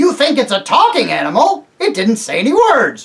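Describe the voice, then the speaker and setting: This is a put-on character voice that sounds female. It is high in pitch. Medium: read story. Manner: excited, quick.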